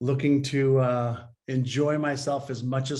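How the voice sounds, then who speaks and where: A man speaks very slowly in a somewhat breathy voice at a fairly high pitch. Audible room echo surrounds the recording. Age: 60s. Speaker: mindset and behavior expert. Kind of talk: interview.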